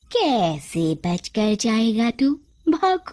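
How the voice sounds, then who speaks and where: A female-sounding voice does a put-on character voice at a fairly high pitch for a woman. Her pitch swings very widely. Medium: read story. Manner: menacing, taunting.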